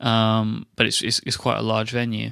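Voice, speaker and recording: A man speaks at a fairly quick pace in a medium pitch, his tone bright and sharp, over a quiet background. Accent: English. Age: 20s. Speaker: podcaster. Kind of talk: casual chat.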